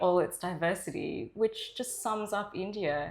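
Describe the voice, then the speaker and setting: With an Australian accent, a woman talks at a medium pitch with ordinary pitch variation. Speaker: journalist. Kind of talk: interview answer.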